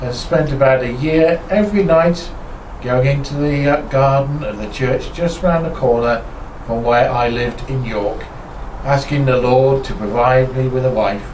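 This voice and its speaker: In a northern English accent, a man talks at a moderate pace and medium pitch with ordinary pitch variation, over noticeable background noise and audible room echo. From northern England, Lincolnshire. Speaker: ministry co-founder. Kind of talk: casual introduction to camera.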